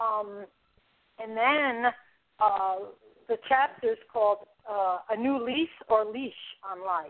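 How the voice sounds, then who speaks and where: In a New York accent, a woman with a fairly high pitch talks at a very slow pace, with long, frequent pauses and big swings in loudness. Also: ordinary pitch variation. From New York City (the Bronx). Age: 60s. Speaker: author. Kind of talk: interview.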